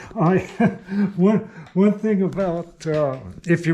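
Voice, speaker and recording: A man talks with typical pitch movement. His tone is dark and mellow. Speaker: machinist. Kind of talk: workshop tutorial. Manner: halting, many fillers.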